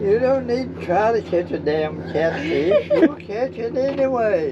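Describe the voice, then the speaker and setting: A high-pitched man's voice makes very wide pitch swings against noticeable background noise. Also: fairly slow pace. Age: 80s+. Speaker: boat captain. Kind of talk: casual talk while fishing. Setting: outdoors.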